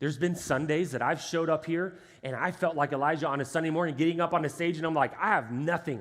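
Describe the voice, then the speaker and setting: On a very clean recording with a silent background, a man with an American accent speaks in an animated tone at a high pitch. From Texas, Houston area. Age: 30s. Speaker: pastor. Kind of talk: sermon. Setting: church stage with congregation. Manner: animated, conversational.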